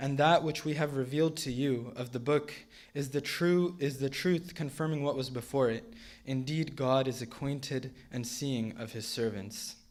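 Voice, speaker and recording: With an unremarkable speaking voice, a man talks at a moderate pace, his pitch fairly high and its variation ordinary. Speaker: Quran reciter. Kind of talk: spoken English translation of Quran verses.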